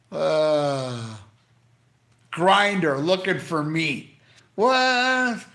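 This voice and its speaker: A man's raised, projected voice, bright and sharp in tone, with very wide pitch swings and audible room echo. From Canada. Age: 60s. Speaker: YouTuber live streaming to chat. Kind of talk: casual live stream chat. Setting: live stream from hospital. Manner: animated.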